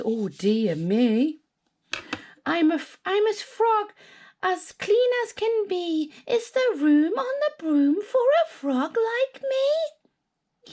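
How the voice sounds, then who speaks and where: Using a put-on character voice, a woman speaks at a very slow pace with extremely high pitch and very wide pitch swings. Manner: playful, sing-song.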